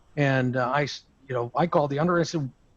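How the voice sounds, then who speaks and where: Somewhat breathy, a man with a fairly high pitch talks at a very fast pace with fairly even intonation. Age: 60s. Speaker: aviation insurance broker. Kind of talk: roundtable discussion. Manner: halting.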